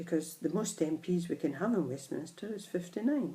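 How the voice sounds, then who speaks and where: A woman's fairly low, dark, mellow voice, somewhat breathy, in a Scottish accent, at a fairly slow pace with ordinary pitch variation. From Scotland, Edinburgh. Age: 60s. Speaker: vlogger. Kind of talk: personal opinion monologue.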